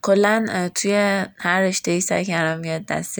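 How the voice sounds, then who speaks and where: A woman with a plain, everyday voice, medium pitch and fairly even intonation. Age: 20s. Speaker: podcast host. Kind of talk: casual self-introduction monologue.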